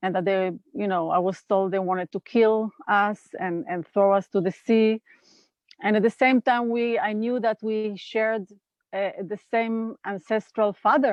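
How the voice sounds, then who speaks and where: A woman with an Israeli accent talks at a fairly slow pace. Her fairly high pitch follows fairly even intonation. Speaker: nonviolent communication trainer. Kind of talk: interview conversation.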